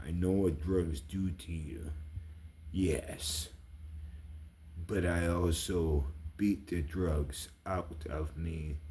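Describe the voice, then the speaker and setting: Quiet and somewhat breathy, the voice moves at a very slow pace with fairly even intonation, and audible room echo surrounds it. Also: man. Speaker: vlogger. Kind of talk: casual monologue. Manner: quiet, voice kept down; rambling, halting.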